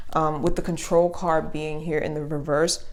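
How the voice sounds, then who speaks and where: A woman with a fairly low pitch speaks with fairly even intonation. Audible room echo and noticeable background noise surround her voice. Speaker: tarot reader. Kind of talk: tarot reading to camera. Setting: home video recording, speaker behind the camera. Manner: fast; casual with many fillers.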